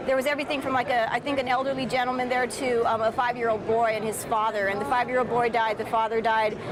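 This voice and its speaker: A woman with an American accent speaks at a very fast pace and a high pitch, with hardly any pauses, very even loudness and fairly even intonation over noticeable background noise. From South Texas, Brownsville. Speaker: filmmaker. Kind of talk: interview. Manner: halting, many fillers and restarts.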